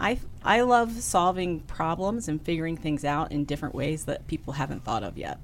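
An unremarkable speaking voice with an American accent runs on with hardly any pauses. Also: woman, fairly low pitch for a woman. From Maryland, US. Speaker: consulting firm CEO. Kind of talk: interview.

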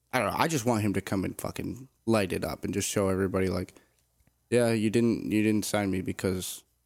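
A man with an ordinary speaking voice talks at a fairly quick pace and fairly low pitch, keeping his intonation fairly even, on a very clean recording with a silent background. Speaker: sports podcast co-host, football fan. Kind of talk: casual chat.

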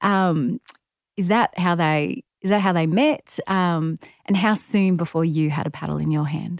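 In a plain, everyday voice, a woman talks at a fairly slow pace with fairly low pitch and ordinary pitch variation, the sound dry and close with no echo on a very clean recording with a silent background. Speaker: podcast host and sports journalist. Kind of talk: casual interview.

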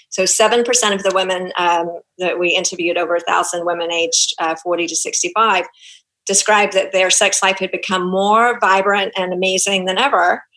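A woman with a New Zealand accent speaks at a moderate pace in a medium pitch, her bright, sharp tone held in a monotone, flat intonation. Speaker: gynecologist. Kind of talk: casual interview.

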